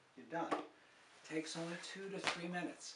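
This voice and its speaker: A man with a high pitch talks at a moderate pace. Loud background noise runs under his voice. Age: 70s. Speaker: health video presenter. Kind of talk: tutorial.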